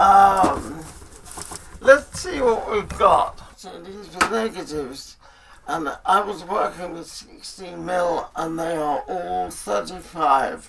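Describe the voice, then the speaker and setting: Over noticeable background noise, a man talks at a very slow pace with lively intonation and a high pitch. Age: 90s. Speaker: retired marionette puppeteer. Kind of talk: documentary interview, casual chat.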